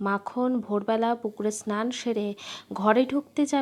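The speaker's intonation stays fairly even. It is plain reading aloud.

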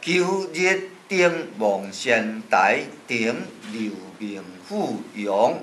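Over light background noise, a man speaks at a very slow pace with very wide pitch swings. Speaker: poetry teacher. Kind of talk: classical poetry reading. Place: classroom. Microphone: camera far.

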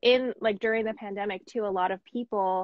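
A woman talks at a fairly quick pace in a medium pitch with fairly even intonation. The sound is dry and close, with no echo.

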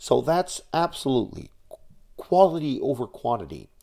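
A man with a Dutch accent speaks in a dark, mellow tone with lively intonation at a fairly slow pace over a quiet background. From Netherlands. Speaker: YouTuber on nuclear energy advocacy. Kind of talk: vlog monologue. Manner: halting, many fillers. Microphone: webcam.

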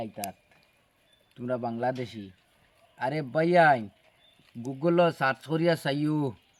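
In a plain, everyday voice, a man talks at a fairly high pitch, his pitch varying in an ordinary way. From Barak Valley, Assam, India. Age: 30s. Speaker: vlogger. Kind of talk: casual vlog talk to viewers.

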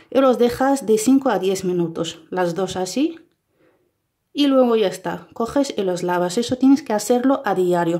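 A woman with a dark, mellow tone and medium pitch speaks with ordinary pitch variation against a quiet background. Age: 30s. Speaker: beauty vlogger; beauty tips vlogger. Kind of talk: tutorial. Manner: halting.

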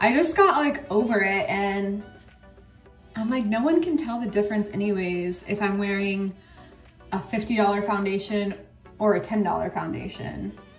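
Long, frequent pauses break up the speech, with faint music in the background and audible room echo. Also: woman, ordinary pitch variation, fairly slow pace. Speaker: beauty vlogger. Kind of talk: casual vlog chat. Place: bathroom. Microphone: phone near.

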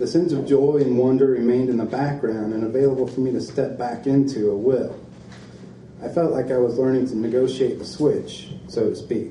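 A man's voice with light background noise and audible room echo. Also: fairly quick pace. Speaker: reader at a book event. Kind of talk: reading aloud from a book. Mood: calm, reflective. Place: shop. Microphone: podium.

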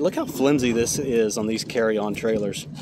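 A man at a moderate pace with fairly even intonation, in a dry sound with no echo and noticeable background noise. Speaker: trailer repair person reviewing. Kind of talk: casual product review. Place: street. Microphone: phone near.

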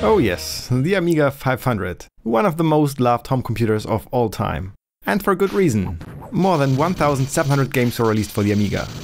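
Over music in the background, a man speaks at a fairly quick pace and medium pitch, his pitch swinging very widely while his loudness stays very even. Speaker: retro computer hobbyist. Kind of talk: casual tutorial narration.

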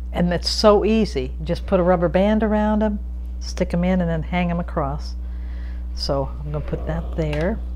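A woman's very deep, low voice with light background noise. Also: moderate pace. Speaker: gardener. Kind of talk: tutorial. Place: kitchen. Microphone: lapel.

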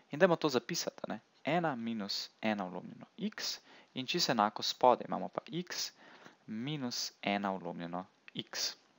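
Pitch swings very widely throughout. The recording is very clean, dry and close, with no echo and a silent background. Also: man, medium pitch for a man. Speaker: math tutor. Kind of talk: tutorial. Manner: casual, with filler words.

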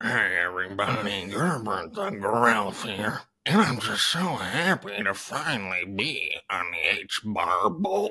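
Growling in a put-on character voice, a man with fairly low pitch speaks at a fairly slow pace. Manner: cheerful, upbeat.

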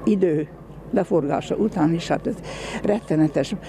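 A woman's fairly low voice at a very slow pace, lively in intonation, with a dry, echo-free sound and light background noise. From Hungary. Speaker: Gulag survivor. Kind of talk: interview testimony. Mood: solemn, emotional remembrance. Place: open country. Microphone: handheld.

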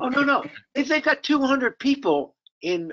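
A man with an extremely high pitch talks at a slow pace in a bright, sharp tone, his pitch swinging widely.

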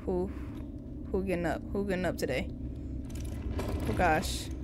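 With clear background noise, a woman speaks at a fairly slow pace in a fairly low pitch with ordinary pitch variation.

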